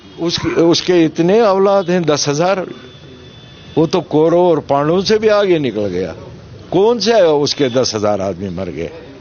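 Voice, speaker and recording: The voice moves in very wide pitch swings against noticeable background noise. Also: man, high pitch for a man. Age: 70s. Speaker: politician, MLA candidate and former militant. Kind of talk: interview. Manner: animated.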